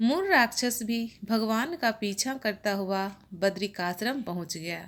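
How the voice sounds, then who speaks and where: A woman with a fairly high voice and lively intonation speaks very slowly on a very clean recording with a silent background. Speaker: religious YouTuber. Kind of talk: religious explainer talk.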